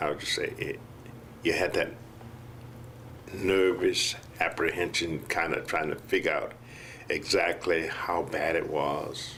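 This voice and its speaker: Noticeable background noise and audible room echo surround a man speaking at a very slow pace. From US South, Mississippi. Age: 70s. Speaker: patient. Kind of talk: testimony. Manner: halting, with many fillers.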